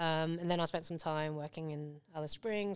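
A woman with a British accent, very deep and low in pitch, monotone and flat, at a fairly quick pace. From England. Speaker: artist. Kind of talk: casual interview chat. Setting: studio.

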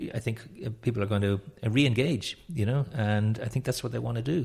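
In a Dublin accent, a man talks at a fairly quick pace, his voice somewhat breathy. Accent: Irish (Dublin). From Ireland, Dublin. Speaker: networking trainer and company founder. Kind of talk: interview.

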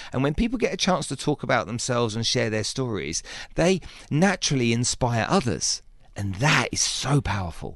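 A man's voice at a moderate pace, with vocal fry and very wide pitch swings. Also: medium pitch for a man. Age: 50s. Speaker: podcast host and business coach. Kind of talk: radio interview. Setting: studio. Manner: animated.

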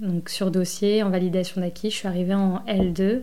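A woman of medium pitch speaks with monotone, flat intonation. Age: 30s. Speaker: sales representative. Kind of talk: testimony.

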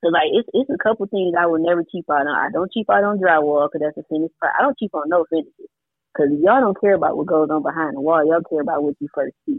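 A woman with a fairly low pitch speaks at a very fast pace with lively intonation and hardly any pauses. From Detroit. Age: 40s. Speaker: construction contractor and property investor. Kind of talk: casual chat.

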